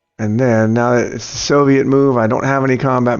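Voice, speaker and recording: With music in the background, a man speaks at a fairly quick pace and medium pitch, with ordinary pitch variation. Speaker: gaming video creator. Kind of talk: gameplay commentary. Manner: casual.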